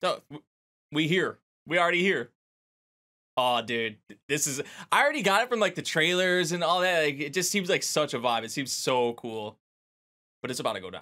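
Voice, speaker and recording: Lively intonation and a bright, sharp tone come at a fairly quick pace. Long, frequent pauses break it up over a quiet background. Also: man, fairly high pitch for a man. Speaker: anime reaction youtuber. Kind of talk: casual reaction commentary. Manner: animated, laughs often. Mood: amused, excited.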